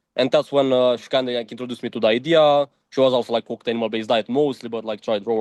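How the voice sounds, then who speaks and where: A man with a Romanian accent talks at a very fast pace. His pitch is medium and his intonation fairly even. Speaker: diet content creator. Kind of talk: interview. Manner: casual, filler-heavy.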